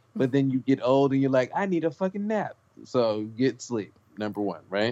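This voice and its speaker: A man speaks in an ordinary speaking voice at medium pitch. His pace is fairly slow. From South Central Los Angeles. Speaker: rapper and comedian. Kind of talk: casual chat.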